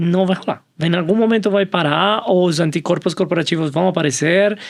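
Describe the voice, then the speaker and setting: Here a man speaks with a Colombian accent in a high pitch. His pace is moderate. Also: fairly even intonation, very even loudness. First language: Spanish (speaking Portuguese). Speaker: innovation professional, panel guest. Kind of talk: panel discussion.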